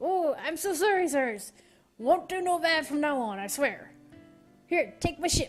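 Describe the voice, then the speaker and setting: Over faint background music, a woman puts on a character voice pitched extremely high, moving at a moderate pace with long, frequent pauses. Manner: fearful, pleading.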